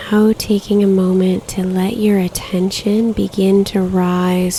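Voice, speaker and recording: With noticeable background noise behind her, a woman speaks very slowly at a medium pitch. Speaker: meditation guide. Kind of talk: guided meditation. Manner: slow, soft-spoken.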